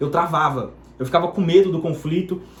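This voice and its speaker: There is noticeable background noise. A man speaks in a high voice. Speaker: digital marketing entrepreneur. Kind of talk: personal testimony. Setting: home bedroom. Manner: fast; spontaneous, unscripted.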